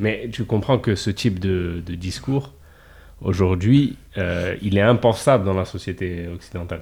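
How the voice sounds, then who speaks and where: Delivery comes at a fairly slow pace. Pitch variation is ordinary. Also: man. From France, Montpellier. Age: 30s. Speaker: engineer and guest co-host. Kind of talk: casual discussion.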